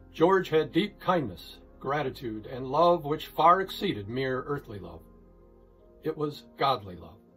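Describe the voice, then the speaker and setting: Faint music plays in the background as speech unfolds at a fairly slow pace with lively intonation. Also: man, fairly high pitch for a man. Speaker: pastor. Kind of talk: sermon summary delivered as a short devotional message.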